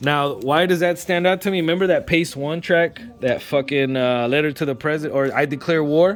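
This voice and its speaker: Noticeable background noise behind a man talking at a fairly quick pace with hardly any pauses, fairly high in pitch, with ordinary pitch variation. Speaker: vinyl record collector. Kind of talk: casual vlog review. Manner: fast.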